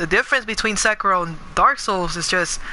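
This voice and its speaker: A woman talks at a fairly quick pace in a medium pitch, her tone animated. Noticeable background noise runs underneath. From New York City (Bronx, Queens), moved to California at 13. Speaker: gaming streamer. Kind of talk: live gameplay stream chat. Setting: live stream. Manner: casual, animated.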